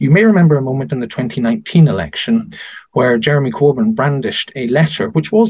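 Somewhat breathy and medium in pitch, a man talks fairly quickly with very wide pitch swings. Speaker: politician or peer commenting on AI and elections. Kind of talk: interview discussion.

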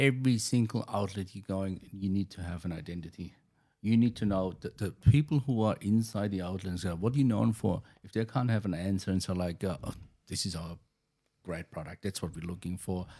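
On a very clean recording with a silent background, a man with a German accent and a fairly low pitch speaks at a fairly quick pace. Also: ordinary pitch variation. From Germany. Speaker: chef. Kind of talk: interview. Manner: halting.

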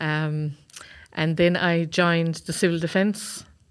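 On a very clean recording with a silent background, a woman with a Waterford accent speaks at a moderate pace in a fairly low pitch with monotone, flat intonation. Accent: Waterford Irish. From County Waterford, Ireland. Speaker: retired army sergeant. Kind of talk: interview.

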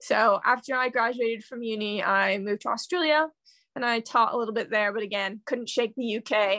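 A woman with a Midwestern accent speaks in a bright, sharp tone against a quiet background. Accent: American, Midwestern. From Kansas City, US Midwest. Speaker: bookstagrammer guest. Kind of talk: casual chat, interview. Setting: remote recording, Sunday night, London.

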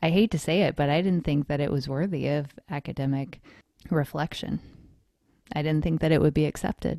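Recorded very cleanly against a silent background, this speaker talks at a fairly quick pace with fairly even intonation in an American accent. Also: woman, very deep, low pitch for a woman. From North Carolina. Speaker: podcast host, wellness researcher. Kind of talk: casual chat.

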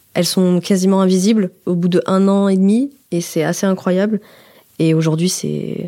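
A woman of medium pitch with a dark, mellow tone at a moderate pace, on a very clean recording with a silent background. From France, Haute-Savoie. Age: 20s. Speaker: journalism student. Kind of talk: personal testimony. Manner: conversational, with hesitations.

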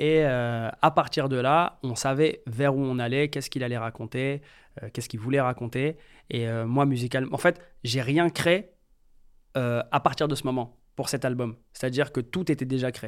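A man speaks at a moderate pace with medium pitch and fairly even intonation. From France, Metz. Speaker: music producer. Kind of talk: interview. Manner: hesitant, many fillers.

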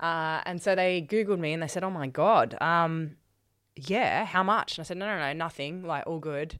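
The speaker has an Australian accent and ordinary pitch variation at a moderate pace. The recording is very clean, with a silent background. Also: woman, fairly low pitch for a woman. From Australia, Sydney. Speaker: charity founder and speaker. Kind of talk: interview, personal story.

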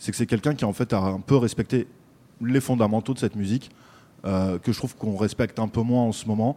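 In a very clean recording with a silent background, a man with a dark, mellow tone speaks at a medium pitch and a fairly quick pace, his intonation fairly even. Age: 30s. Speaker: rap journalist. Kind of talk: casual chat.

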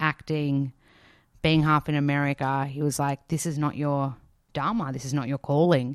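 A woman with a very deep, low pitch and an Australian accent, in a dry, close sound with no echo. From Australia, Melbourne. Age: 30s. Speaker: nutritionist and author. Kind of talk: interview. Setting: remote recording during lockdown. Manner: animated.

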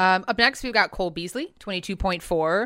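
Talking at a fairly quick pace, a woman with an ordinary speaking voice keeps a medium pitch and lively intonation. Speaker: regular co-host, fantasy football. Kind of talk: casual chat about fantasy football.

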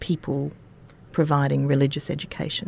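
A woman's very deep, low voice with an Australian accent. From Queensland, Australia. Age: 50s. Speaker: high school English teacher. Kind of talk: casual interview. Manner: animated.

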